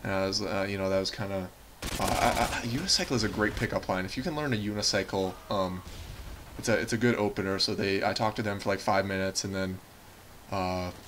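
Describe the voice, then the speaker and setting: A man speaks at a very fast pace with fairly low pitch and fairly even intonation. Noticeable background noise sits behind him. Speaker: gaming commentator. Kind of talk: gameplay commentary monologue. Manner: rambling with many fillers and restarts.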